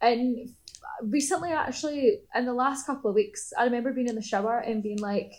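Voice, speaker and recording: A woman with a strong Scottish accent, high in pitch and fairly quick in pace. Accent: Scottish, strong enough that people struggle. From Scotland. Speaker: artist. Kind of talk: casual interview chat.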